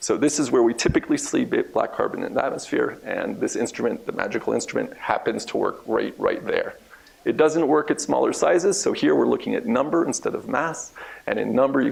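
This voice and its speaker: Noticeable background noise sits behind the recording. The man talks at a fairly quick pace. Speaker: research scientist. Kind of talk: lecture. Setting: seminar room with audience. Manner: fast.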